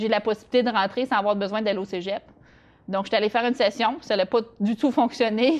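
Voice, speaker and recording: A woman talks very fast. Her fairly high pitch shows ordinary variation. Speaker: interview guest sharing life story. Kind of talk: interview testimony. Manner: halting, many hesitations.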